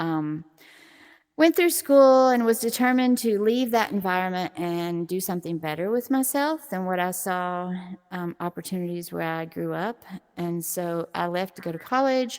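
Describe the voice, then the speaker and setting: In a very clean recording with a silent background, a woman with an American accent speaks at a moderate pace and medium pitch, her intonation lively. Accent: Southern US accent, noted by others. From US South, southeast Tennessee near Chattanooga. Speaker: VR esports journalist and player. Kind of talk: interview. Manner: loud.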